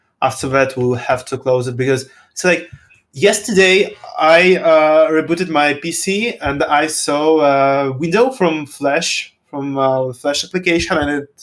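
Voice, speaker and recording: Fairly slow speech from a man, its pitch varying in an ordinary way. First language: non-English. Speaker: game developer representative. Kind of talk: live stream Q&A. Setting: live stream. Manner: halting.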